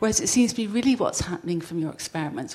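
Her voice is somewhat breathy. The speaker is a woman. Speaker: audience member. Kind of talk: audience question. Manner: formal.

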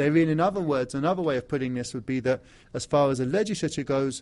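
Against a quiet background, a man with an English accent talks at a very fast pace with lively intonation. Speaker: academic lecturer on African studies. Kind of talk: conference presentation. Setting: legislature hall with audience. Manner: formal.

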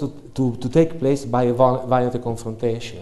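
A man talks in a medium pitch with an Italian accent. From Italy. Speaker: academic researcher. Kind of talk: academic talk. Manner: halting.

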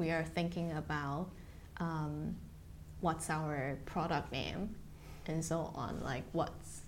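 A woman with a very deep, low pitch, vocal fry and fairly even intonation, in audible room echo. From Taiwan. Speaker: biomedical engineer and company executive. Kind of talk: oral history interview.

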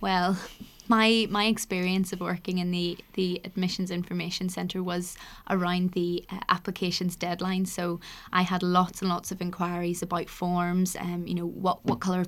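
At a moderate pace, a woman with a Northern Irish accent speaks at medium pitch with monotone, flat intonation, on a very clean recording with a silent background. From Northern Ireland. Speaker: university admissions access officer. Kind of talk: casual interview.

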